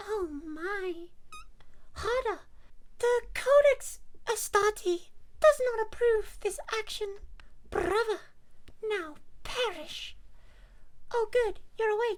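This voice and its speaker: A woman does a squeaky put-on character voice at an extremely high pitch, talking at a very slow pace with long, frequent pauses over clear background noise. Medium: virtual streamer. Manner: playful, cheeky.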